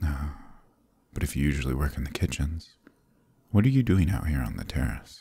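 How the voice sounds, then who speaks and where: A man with a very deep, low voice speaks at a fairly quick clip in a theatrical, amused tone, his dark, mellow sound edged with vocal fry and broken by long, frequent pauses, recorded dry with no echo against a quiet background. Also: ordinary pitch variation. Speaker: ASMR roleplay voice actor. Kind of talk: dramatic fantasy roleplay narration, ASMR, in character as a seductive demon prince; scripted roleplay dialogue. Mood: curious, playful, low-key. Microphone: studio mic.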